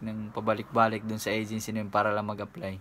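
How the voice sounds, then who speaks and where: This is a man talking. His pitch is fairly low. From Philippines. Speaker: YouTuber and overseas worker; YouTuber. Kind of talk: vlog tutorial. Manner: casual with frequent hesitations. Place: home room. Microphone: phone near.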